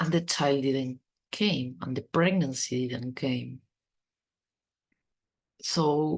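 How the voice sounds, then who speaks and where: A woman with a non-native accent, very deep and low in pitch, at a very slow pace with long, frequent pauses and ordinary pitch variation. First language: not English. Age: 40s. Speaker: podcast host. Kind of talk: personal podcast monologue. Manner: stuttering.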